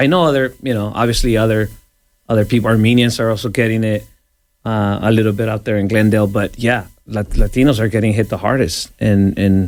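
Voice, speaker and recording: Fairly low in pitch, this man has a normal speaking voice. He talks at a fairly quick pace with fairly even intonation. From El Salvador, moved to Los Angeles at 11. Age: 40s. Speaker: radio DJ. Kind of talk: casual interview. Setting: radio studio.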